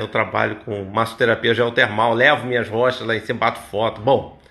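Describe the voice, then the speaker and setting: A bright, sharp tone at a moderate pace. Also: man. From Niterói, Rio de Janeiro state, Brazil; Rio de Janeiro state, Brazil. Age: 50s. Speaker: massage therapist; massage therapist vlogger. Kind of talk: motivational talk. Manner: casual, conversational. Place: home room. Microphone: phone near.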